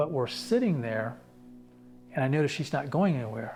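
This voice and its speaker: Quietly, with music in the background, a man of medium pitch speaks at a moderate pace with ordinary pitch variation. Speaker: patient sharing survival story. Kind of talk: testimony.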